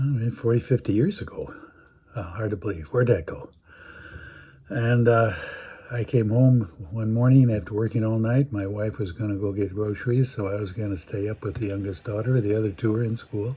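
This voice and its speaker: A man's fairly low voice, dark and mellow in tone, somewhat breathy, with fairly even intonation. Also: fairly quick pace. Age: 80s+. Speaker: storyteller. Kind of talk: personal storytelling. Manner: halting.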